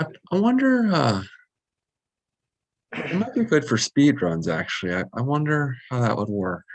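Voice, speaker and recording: Soft-spoken, fairly high-pitched male voice with very wide pitch swings, a moderate pace, and long, frequent pauses. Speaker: RC hobbyist and video maker. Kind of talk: casual chat. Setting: video call.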